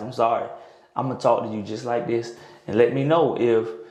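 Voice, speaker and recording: A man with a medium pitch talks at a very fast pace. Both audible room echo and noticeable background noise are present. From North Florida. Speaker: sports coach and teacher. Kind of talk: casual interview chat. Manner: loud.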